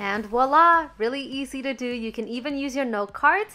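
Music plays behind a woman who speaks at a moderate pace with a high pitch and ordinary pitch variation. Her tone is upbeat. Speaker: beauty YouTuber. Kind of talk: makeup tutorial voiceover. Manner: casual, upbeat.

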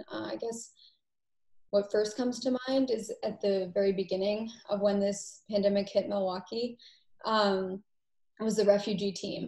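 A somewhat breathy woman with an American accent, dark, mellow tone and monotone, flat intonation, marked by long, frequent pauses in a quiet background. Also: medium pitch for a woman, moderate pace. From Massachusetts. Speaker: medical assistant; panelist. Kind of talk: panel discussion. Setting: video call. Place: home room. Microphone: video call.

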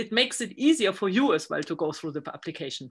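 Very fast, lively speech from a woman, bright and sharp in tone, medium in pitch, over a quiet background. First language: not English. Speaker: research group leader. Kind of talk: interview. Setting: video call. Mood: friendly, smiling. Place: office. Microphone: video call.

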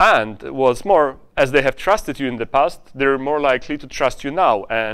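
Over a quiet background, a man with a Polish accent talks at a moderate pace with ordinary pitch variation. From Poland. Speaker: conference speaker and software founder. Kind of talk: conference talk. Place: hall. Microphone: lapel.

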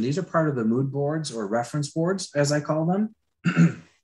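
At a moderate pace, a man talks in a somewhat breathy, fairly high-pitched voice. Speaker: concept artist; presenter. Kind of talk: live drawing tutorial. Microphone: webcam.

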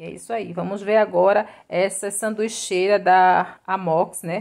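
Her voice sits at a medium pitch for a woman. The background is quiet. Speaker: YouTube vlogger and bargain shopper. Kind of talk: casual vlog chat. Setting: shopping mall, walking through a store. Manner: animated, fast, repeating prices and 'minha gente' like a market pitchman; enthusiastic, gushing praise over each item. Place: shop. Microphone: phone near.

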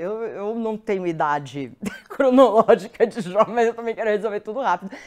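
A woman speaks with a Brazilian accent at a moderate pace. Her pitch is fairly high, and the background is quiet. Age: 50s. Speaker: presenter. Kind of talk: live stream talk with audience poll. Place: studio.

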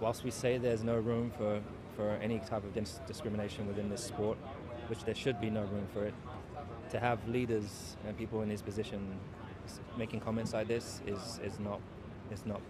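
Talking at a fairly quick pace, this man sounds dry with no echo, and noticeable background noise is present. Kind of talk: interview answer. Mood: serious, measured. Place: street. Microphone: handheld.

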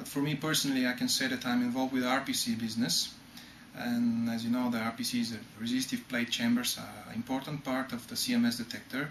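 A man speaks in a flat monotone, with audible room echo and light background noise. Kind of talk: interview answer. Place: office.

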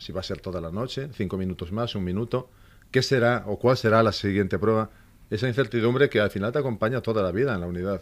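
A man's fairly low voice at a very fast clip, with ordinary pitch variation. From Asturias, Spain. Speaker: police inspector and elite unit instructor; elite unit instructor. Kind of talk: radio interview. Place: studio. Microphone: studio mic.

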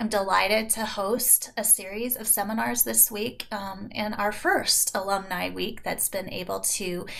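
The speaker is a woman. She talks at a fairly slow pace with fairly even intonation. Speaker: program director hosting webinar. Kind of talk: speaker introduction. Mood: warm, welcoming. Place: home room. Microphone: webcam.

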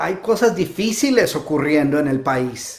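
A man's fairly slow, animated speech with lively intonation over a quiet background. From Colombia, Bogotá. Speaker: motivational speaker. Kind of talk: live-stream talk. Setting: home. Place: home room.

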